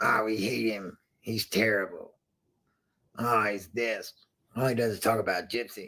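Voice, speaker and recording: A raspy put-on character voice moves at a moderate pace, broken by long, frequent pauses. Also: man, medium pitch for a man. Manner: mocking, whiny.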